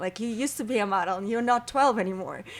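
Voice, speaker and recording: A woman with a strong Russian accent speaks at a fairly quick pace in a fairly high pitch, with lively intonation. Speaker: model, actress and comedian. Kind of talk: interview conversation. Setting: podcast interview.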